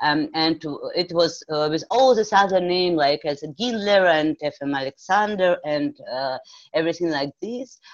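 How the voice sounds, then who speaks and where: With lively intonation and fairly low pitch, a woman speaks at a fairly slow pace. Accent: Russian. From Russia. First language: Russian. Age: 40s. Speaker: movement therapy practitioner. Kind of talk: interview. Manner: halting.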